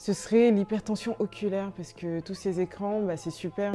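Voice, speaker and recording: A woman speaks at a moderate pace. Behind her, music is playing. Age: 20s. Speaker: brand founder. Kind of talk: interview answers. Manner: hesitant with frequent fillers.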